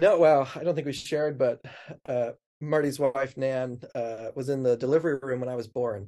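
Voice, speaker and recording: An unremarkable speaking voice from a man at medium pitch, with an American accent and fairly even intonation. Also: moderate pace. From US Pacific Northwest, Snoqualmie Valley, Washington. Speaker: pastor. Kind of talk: casual chat.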